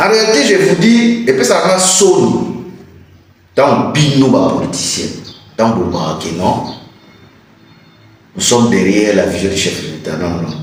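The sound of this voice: In a room with strong echo, a man talks at a fairly slow pace. His pitch is fairly low and his intonation lively.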